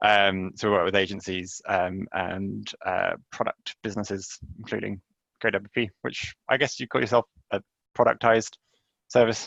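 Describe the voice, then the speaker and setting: A man speaks with vocal fry and a fairly low pitch. His intonation stays fairly even. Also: moderate pace. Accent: English. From England. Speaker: marketing agency founder. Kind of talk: webinar presentation. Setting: live webinar, remote.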